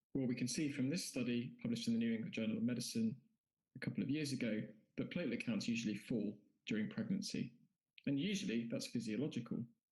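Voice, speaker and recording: Very fast and somewhat breathy, the speaker talks with a British accent, lively intonation and very even loudness. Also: man, medium pitch for a man. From UK. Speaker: anaesthesiologist. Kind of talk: conference lecture.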